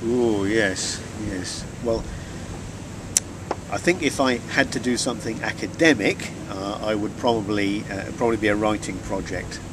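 With long, frequent pauses and ordinary pitch variation, a man speaks at a moderate pace in a dry sound with no echo, with noticeable background noise present. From rural Norfolk, England. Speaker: chemistry lecturer, NMR researcher. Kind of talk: interview answer. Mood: relaxed, reflective. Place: waterside.

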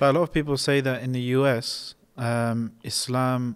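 This is a man's voice. His intonation stays monotone and flat. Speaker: podcast host. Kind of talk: interview. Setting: mosque. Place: church. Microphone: studio mic.

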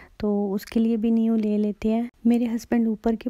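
Speaking at a moderate pace, a woman with a fairly high pitch and a dark, mellow tone keeps a monotone, flat intonation in a dry, close recording with no echo. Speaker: vlogger. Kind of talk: vlog narration.

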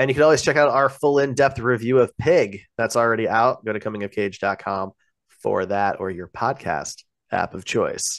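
A man does a put-on character voice, raspy and at medium pitch, at a moderate pace. The sound is dry and close with no echo, over a quiet background. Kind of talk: polished, promotional. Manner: voiceover announcer.

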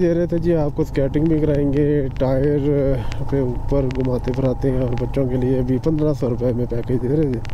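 A man's fairly even-toned speech, dry with no echo, against noticeable background noise. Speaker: travel vlogger rider. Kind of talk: casual vlog chat. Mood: mildly disappointed, accepting. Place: motorbike. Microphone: helmet.

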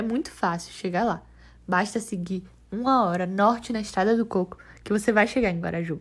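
Woman with a normal speaking voice and fairly even intonation, in a very clean recording with a silent background. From Brazil, Salvador (Bahia). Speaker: journalism student. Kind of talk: scripted narration.

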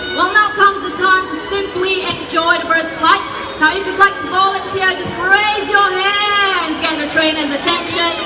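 Clear music plays in the background. The speaker keeps a moderate pace. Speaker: bird show presenter. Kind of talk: live bird show presenter patter to an audience, explaining and cueing birds. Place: stadium.

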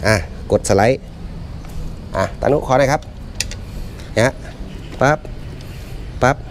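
A man's medium-pitched voice with ordinary pitch variation and a slight Isan accent, over light background noise. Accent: Isan accent in English words, slight. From Isan, northeast Thailand; Thailand. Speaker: product presenter for outdoor gear shop; shop staff demonstrating product. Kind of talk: product demonstration. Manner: halting. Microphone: camera far.

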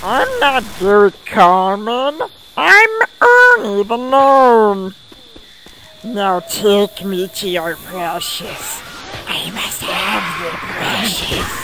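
Using a put-on character voice, a man speaks very slowly with a high pitch. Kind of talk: comic overacting. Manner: indignant, shouting, bossy.

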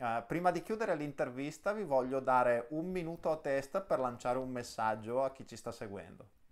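Barely pausing, a man talks at a fairly quick pace with lively intonation and big swings in loudness. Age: 30s. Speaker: interview show host; interview host. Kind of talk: interview. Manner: halting, many repetitions. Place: home room. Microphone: video call.

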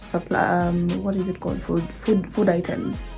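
A woman speaking at a fairly slow pace, with faint music in the background. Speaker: vlogger. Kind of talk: casual vlog chat. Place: kitchen. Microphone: phone near.

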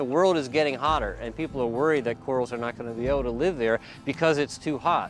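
A man at a fairly quick pace with ordinary pitch variation, dry with no echo, over clear music in the background. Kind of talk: interview answer. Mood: warm, enthusiastic. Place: waterside. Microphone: lapel.

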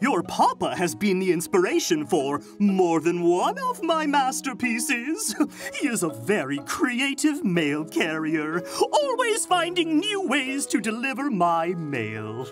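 Over clear background music, a cartoonish character voice with fairly high pitch speaks at a fairly slow pace. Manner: grand, theatrical, showy.

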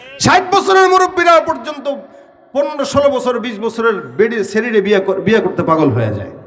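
A man's voice sits extremely high in pitch, with very wide pitch swings. Audible room echo and noticeable background noise fill the recording. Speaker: Islamic preacher. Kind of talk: sermon. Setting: religious gathering with audience.

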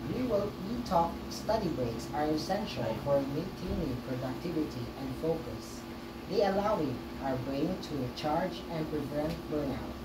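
A woman speaks at a fairly slow pace. Loud background noise is present. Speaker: student podcast host. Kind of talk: scripted podcast reading. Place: home room. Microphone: camera far.

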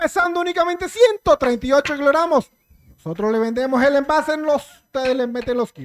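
Big swings in loudness and lively intonation mark this man's extremely high voice. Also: moderate pace, quiet background. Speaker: auction announcer. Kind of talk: promotional lot announcement. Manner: hyping, showman-like.

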